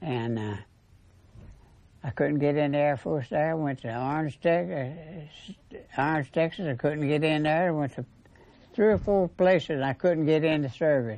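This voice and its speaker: A man with a Southern US accent at a fairly high pitch, moderate pace, ordinary pitch variation and long, frequent pauses. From Alabama. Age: 90s. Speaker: World War Two veteran. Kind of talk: interview soundbites. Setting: library of veterans home.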